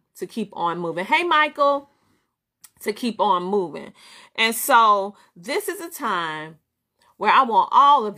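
In a Southern US accent, a woman with a fairly high pitch and a bright, sharp tone talks at a fairly slow pace in an animated tone, with very wide pitch swings, big swings in loudness and long, frequent pauses, on a very clean recording with a silent background. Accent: Southern US twang. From US South. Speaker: business coach and talk show host. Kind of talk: live-streamed motivational coaching talk. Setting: live broadcast reading viewer chat. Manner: animated, laughs often.

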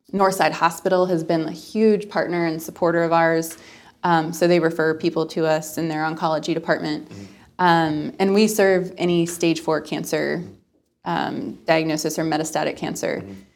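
A woman with a normal speaking voice, fairly low in pitch, at a moderate pace with fairly even intonation. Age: 20s. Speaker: nonprofit founder. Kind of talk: interview.

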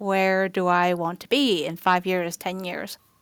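With a Chinese accent, a woman speaks at a fairly slow pace on a very clean recording with a silent background. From southern China, moved to New York at 14. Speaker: health tech professional. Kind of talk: casual chat.

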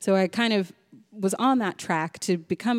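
On a very clean recording with a silent background and a dry, close sound with no echo, a woman speaks in an unremarkable speaking voice at medium pitch, with ordinary pitch variation and a moderate pace. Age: 30s. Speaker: public health executive. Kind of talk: casual chat.

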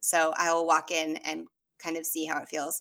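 With an American accent, a woman speaks at a moderate pace in a fairly low pitch and a bright, sharp tone. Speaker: tarot reader and medium. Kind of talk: casual chat.

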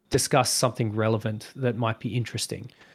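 On a very clean recording with a silent background, a man with an Australian accent talks at a moderate pace. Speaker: guest, video editor and gamer. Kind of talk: casual conversation interview.

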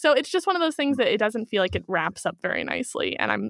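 A woman speaks with a US Midwestern accent in a dry, close sound with no echo. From Kansas City, Missouri, US Midwest. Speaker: true crime and paranormal podcaster. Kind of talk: casual interview chat.

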